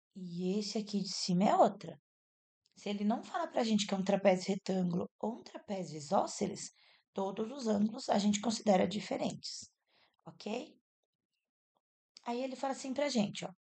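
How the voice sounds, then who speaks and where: A soft-spoken woman talks with a dark, mellow tone that is somewhat breathy. Her intonation is lively, broken by long, frequent pauses. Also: medium pitch for a woman, moderate pace. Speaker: math teacher. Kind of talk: tutorial.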